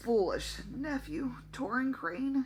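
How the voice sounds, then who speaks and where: Clear background noise runs under a put-on character voice that sounds female, raspy, and fairly high in pitch. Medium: read story.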